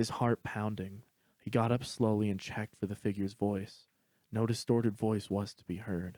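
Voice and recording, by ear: A quiet background behind a natural voice reading aloud, intonation fairly even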